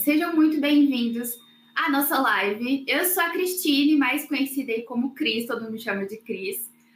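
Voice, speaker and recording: With a slight mineiro accent, a woman talks at a high pitch and a moderate pace with lively intonation. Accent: slight mineiro accent (Minas Gerais). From Minas Gerais, Brazil. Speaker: webinar host, marketing staff. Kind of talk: live webinar hosting. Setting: online livestream.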